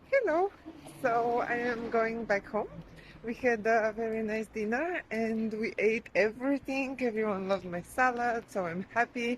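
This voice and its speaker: A woman with a high voice speaks at a fairly slow pace with ordinary pitch variation over noticeable background noise. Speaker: vlogger. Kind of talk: casual vlog talk. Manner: quiet.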